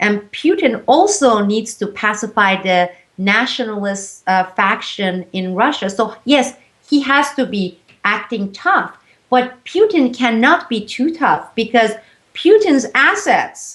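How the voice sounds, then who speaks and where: A woman with a fairly high pitch speaks very slowly, her intonation lively. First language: Turkish. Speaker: whistleblower and editor. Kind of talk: interview.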